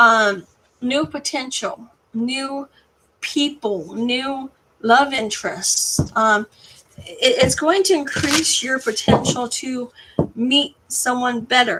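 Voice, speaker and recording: A woman talks at a very slow pace in a high pitch, her raised, projected voice carrying lively intonation. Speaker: tarot card reader. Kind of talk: tarot reading to camera. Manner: halting, stumbling over words.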